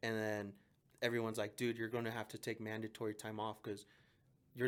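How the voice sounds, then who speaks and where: A medium-pitched man speaks at a fairly quick pace with a Mexican accent. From Mexico, raised in southwest Denver. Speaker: police officer. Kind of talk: casual chat. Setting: podcast. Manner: animated.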